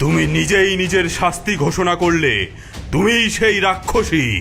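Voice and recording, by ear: A man puts on a cartoonish character voice, high-pitched, bright and sharp, with vocal fry and lively intonation. He speaks at a fairly slow pace over faint background music.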